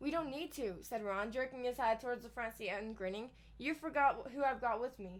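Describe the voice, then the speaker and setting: Speaking at a fairly quick pace, a woman uses a high pitch with ordinary variation. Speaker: book reader streamer. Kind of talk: reading aloud. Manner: fast; slurring words.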